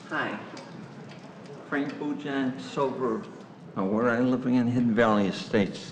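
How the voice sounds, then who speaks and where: Amid audible room echo and noticeable background noise, a man speaks at a fairly slow pace in a medium-pitched voice, with ordinary pitch variation and long, frequent pauses. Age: 80s+. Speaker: resident, taxpayer. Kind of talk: public comment at council meeting. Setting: village board meeting.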